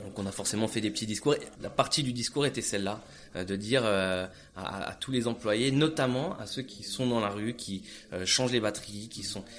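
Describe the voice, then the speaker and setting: This man's fairly low voice moves at a moderate pace with ordinary pitch variation. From France. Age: 30s. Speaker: entrepreneur. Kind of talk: interview. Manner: halting.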